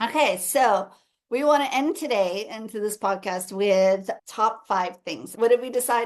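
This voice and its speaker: Speaking in a plain, everyday voice with an American accent, a woman talks at a fairly high pitch and a fairly slow pace with lively intonation. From United States. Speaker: podcast host, missionary. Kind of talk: casual chat.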